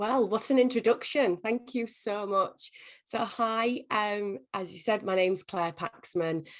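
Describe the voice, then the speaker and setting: At a fairly slow pace, a woman talks in a fairly high voice with ordinary pitch variation. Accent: English. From England. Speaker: company executive. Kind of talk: interview. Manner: halting.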